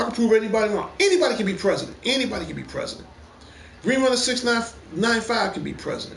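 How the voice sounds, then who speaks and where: A man talks at a very fast pace in an animated tone with ordinary pitch variation. Audible room echo and noticeable background noise fill the recording. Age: 50s. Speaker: gaming livestream host. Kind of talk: casual opinion rant on livestream. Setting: PS4 live stream.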